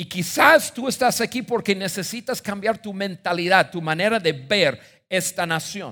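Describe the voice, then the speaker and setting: A man's raised, projected voice at high pitch, animated with lively intonation, bright and sharp in tone, at a fairly slow pace, in a very clean recording with a silent background. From United States. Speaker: pastor. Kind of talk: sermon.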